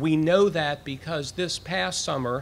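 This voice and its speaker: A man speaks fairly slowly while light noise sits in the background. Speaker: university president. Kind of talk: formal address to a live audience. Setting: outdoors, with cicadas audible. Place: street. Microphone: podium.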